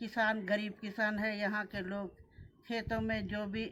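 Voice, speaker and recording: A woman of medium pitch speaks in a flat monotone. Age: 70s. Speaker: former village head. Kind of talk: interview.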